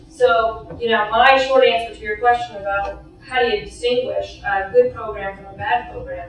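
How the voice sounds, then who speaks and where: A woman's voice at a moderate pace with hardly any pauses, big swings in loudness, and noticeable background noise. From Canada. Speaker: professor. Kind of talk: conference panel talk.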